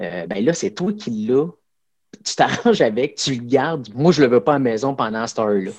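A man talks at a moderate pace and medium pitch. His pitch swings very widely. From Quebec, Abitibi-Témiscamingue. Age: 40s. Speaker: karate instructor and volunteer firefighter. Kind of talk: casual interview.

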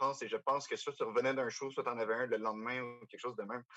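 A man talks at a very fast pace in a medium pitch. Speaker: podcast co-host. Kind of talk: casual chat.

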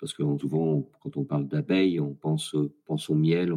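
A man speaks at a fairly quick pace in a dark, mellow tone, with ordinary pitch variation. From France, rural farm. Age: 60s. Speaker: author and scientist. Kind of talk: casual interview. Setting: online voice call.

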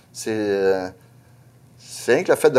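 Speaking at a very slow pace, a man with a Saguenay–Lac-Saint-Jean accent is heard on a very clean recording with a silent background. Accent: Saguenay–Lac-Saint-Jean Quebec French. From Quebec, Lac-Saint-Jean. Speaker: truck driver. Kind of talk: casual interview.

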